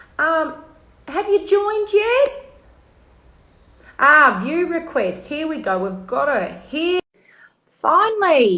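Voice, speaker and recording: An extremely high-pitched woman with an Australian accent, her raised, projected voice bright and sharp, very slow, with very wide pitch swings and long, frequent pauses. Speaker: live stream host. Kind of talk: casual chat.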